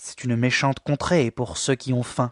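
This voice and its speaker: This is a gruff, put-on character voice. It moves at a moderate pace with ordinary pitch variation. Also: man, medium pitch for a man. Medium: read story. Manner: gruff, curt.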